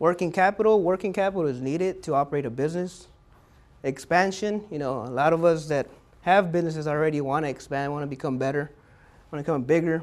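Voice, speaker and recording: At a very fast pace, a man talks at a fairly high pitch with ordinary pitch variation. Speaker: small business advisor for veterans. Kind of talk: lecture.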